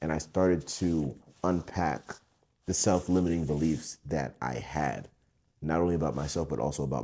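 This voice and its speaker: Talking at a fairly quick pace, a man with vocal fry uses fairly even intonation and a dark, mellow tone. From US, Broward County Florida, Haitian-American. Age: 20s. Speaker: painter. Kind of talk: interview monologue.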